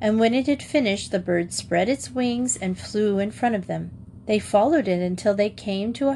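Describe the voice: Someone reads aloud plainly.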